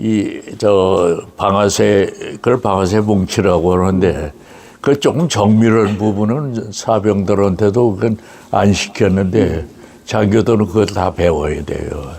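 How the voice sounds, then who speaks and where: A man's fairly low voice moves at a very slow pace. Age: 90s. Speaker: war correspondent. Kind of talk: interview testimony. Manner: halting.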